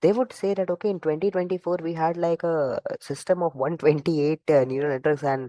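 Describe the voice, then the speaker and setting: A soft-spoken voice with a dark, mellow tone goes at a very fast pace, with ordinary pitch variation. The sound is dry and close, with no echo. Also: man. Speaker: AI instructor. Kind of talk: online lecture. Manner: halting.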